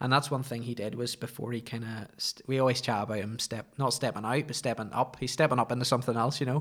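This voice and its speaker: A man with a Northern Irish accent talks very fast at a medium pitch, with hardly any pauses. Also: fairly even intonation. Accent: Northern Irish (Ulster). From Northern Ireland, County Antrim (Ballymoney). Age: 20s. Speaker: podcast guest, former barista and wedding photographer. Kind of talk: casual chat.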